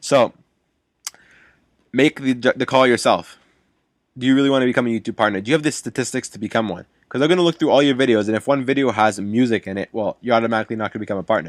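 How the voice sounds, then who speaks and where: On a very clean recording with a silent background and a dry, close sound with no echo, a man talks very fast at a medium pitch with ordinary pitch variation and long, frequent pauses. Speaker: YouTuber. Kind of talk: casual vlog monologue. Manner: halting, stuttering.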